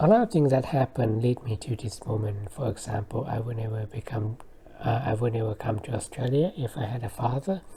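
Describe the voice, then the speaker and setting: A woman with a non-native accent speaks at a fairly quick pace in a very deep, low pitch. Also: ordinary pitch variation. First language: not English. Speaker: vlogger. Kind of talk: personal monologue. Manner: halting.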